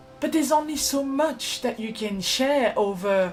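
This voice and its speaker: Backed by music, a woman with a French accent talks at a moderate pace with lively intonation. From France. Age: 20s. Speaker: vlogger. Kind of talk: personal vlog.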